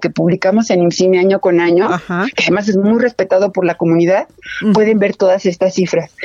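Fairly quick speech from a woman, in a dry, close sound with no echo. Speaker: film director and film institute head. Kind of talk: radio interview. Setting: phone call. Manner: halting.

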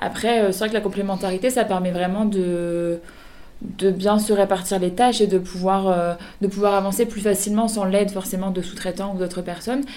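Her voice carries a dark, mellow tone. The woman's intonation remains flat and monotone throughout. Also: medium pitch for a woman, moderate pace. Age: 30s. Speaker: clothing brand founder. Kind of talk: radio interview. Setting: radio studio.

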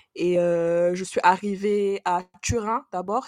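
A plain, everyday voice from a woman, medium in pitch, with fairly even intonation. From Senegal. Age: 20s. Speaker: engineer, travel guest. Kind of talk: casual chat.

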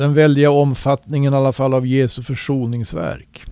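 A man talks at a fairly slow pace and medium pitch in a plain, everyday voice. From Sweden. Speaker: Bible teacher. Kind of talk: Bible study conversation. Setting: internet call.

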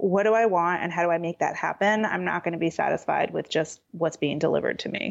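Talking at a fairly quick pace, a woman with an American accent has a fairly low pitch. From Southern California. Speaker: interior designer. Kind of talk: interview conversation.

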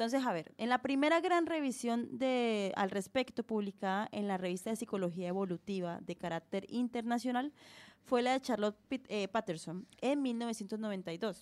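This woman has a plain, everyday voice with a fairly high pitch. Her intonation is lively and her pace moderate. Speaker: podcast co-host. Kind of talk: casual chat; reading aloud.

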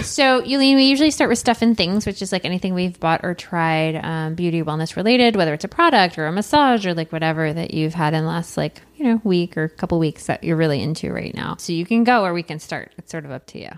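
A woman with fairly low pitch, lively intonation and big swings in loudness, at a very fast pace. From Michigan, US. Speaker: podcast host. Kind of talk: casual chat.

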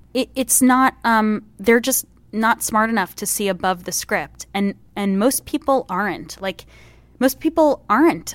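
A plain, everyday voice with lively intonation moves at a fairly slow pace, the sound dry and close with no echo. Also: woman, fairly high pitch for a woman. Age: 30s. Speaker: comedian. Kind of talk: casual chat.

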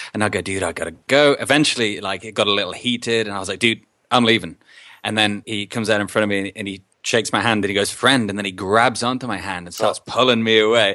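Speaking very fast with an Australian accent, a man uses a fairly low pitch and a bright, sharp tone on a very clean recording with a silent background. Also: fairly even intonation, big swings in loudness. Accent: Australian-tinged English. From England. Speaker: podcaster and musician. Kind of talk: casual chat.

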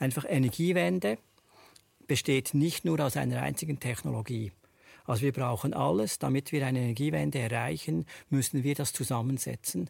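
Over a very clean recording with a silent background, a man with a medium-pitched voice and vocal fry talks at a moderate pace, his pitch swinging very widely. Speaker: solar company founder. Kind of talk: panel discussion.

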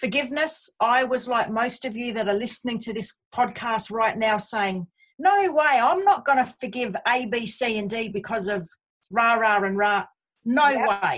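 A woman with an Australian accent and a fairly high pitch speaks at a moderate pace with ordinary pitch variation. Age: 50s. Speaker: abuse survivor. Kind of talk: testimony. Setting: remote call.

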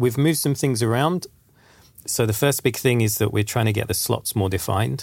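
Recorded very cleanly against a silent background, a man with an English accent speaks in a somewhat breathy medium pitch with ordinary pitch variation. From England. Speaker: game design director. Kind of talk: casual podcast discussion.

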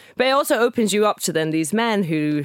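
A woman with a Scottish accent swings her pitch very widely, in a dry, close sound with no echo. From Scotland, Edinburgh. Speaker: DJ and producer. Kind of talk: casual interview chat. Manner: hesitant, many fillers.

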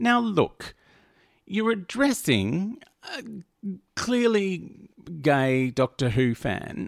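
A man with an Australian accent speaks with very wide pitch swings on a very clean recording with a silent background and a dry, close sound with no echo. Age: 40s. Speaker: podcast host. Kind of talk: casual monologue. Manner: animated.

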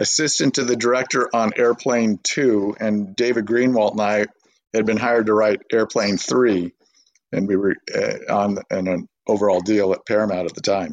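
In an ordinary speaking voice, a man with a General American accent talks at a moderate pace and medium pitch, with ordinary pitch variation, very even loudness, and a dry, close sound with no echo. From US West Coast, Burbank, California. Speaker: screenwriter and director. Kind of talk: interview, casual chat.

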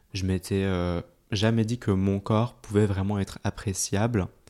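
A man's dark, mellow voice at a fairly low pitch and fairly slow pace, on a very clean recording with a silent background. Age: 20s. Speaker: content creator. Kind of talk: casual chat.

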